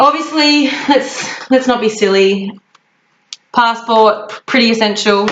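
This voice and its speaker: Someone speaks with an Australian accent and ordinary pitch variation. There are long, frequent pauses. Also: woman, fairly high pitch for a woman. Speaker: travel vlogger. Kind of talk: casual tutorial. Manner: fast; animated.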